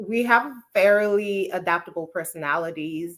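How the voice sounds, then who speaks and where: A woman speaks at medium pitch with a bright, sharp tone. Her pace is fairly slow, and the recording is very clean with a silent background. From Nigeria. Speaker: neuropsychologist. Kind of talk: interview.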